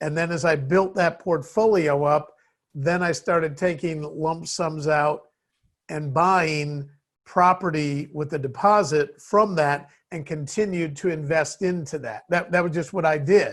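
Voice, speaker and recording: A man's plain, everyday voice with an American accent, fairly high in pitch, fairly even in intonation and fairly slow, over a quiet background. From US Midwest, Chicago. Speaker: business CEO. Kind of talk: interview.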